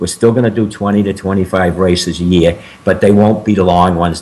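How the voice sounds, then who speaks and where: A man's fairly low voice with an American accent and monotone, flat intonation, against noticeable background noise. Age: 70s. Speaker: endurance athlete and motivational speaker. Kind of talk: interview. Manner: halting.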